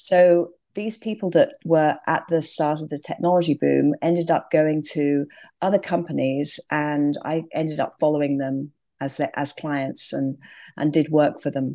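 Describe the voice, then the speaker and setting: In a quiet background, a woman speaks at a fairly slow pace with a very deep, low pitch, a dark, mellow tone and fairly even intonation. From England. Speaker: design firm leader. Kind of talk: interview.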